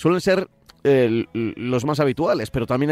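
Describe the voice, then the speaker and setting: An ordinary speaking voice with lively intonation. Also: man. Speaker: radio host. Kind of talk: radio show chat.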